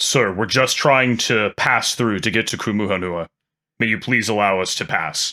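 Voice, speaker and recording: In a very clean recording with a silent background, a man does a put-on character voice at a fairly low pitch. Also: moderate pace. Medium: actual play. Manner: polite, careful.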